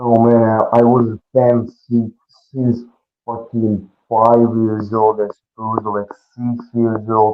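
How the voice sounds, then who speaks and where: A man speaks with a Russian accent. His pace is very slow and his intonation monotone and flat. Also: medium pitch for a man. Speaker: pro wrestler. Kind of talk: interview.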